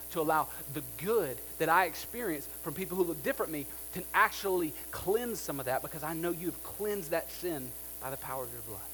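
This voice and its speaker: A man talking fairly quickly, with music in the background. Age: 30s. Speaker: pastor. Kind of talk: sermon.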